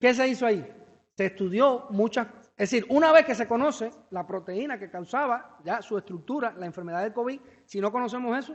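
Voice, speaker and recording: With a Cuban accent, a man talks at a fairly quick pace in a high pitch with ordinary pitch variation. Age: young. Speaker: researcher. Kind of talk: Q&A answer; lecture. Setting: seminar with audience. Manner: fast; hesitant.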